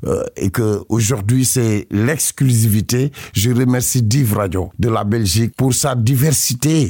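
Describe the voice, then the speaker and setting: A dark, mellow tone with a somewhat breathy quality moves at a very slow pace. Loudness stays very even, with ordinary pitch variation. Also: man, medium pitch for a man. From Senegal, Casamance. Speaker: musician. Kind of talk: radio interview. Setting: studio. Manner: halting.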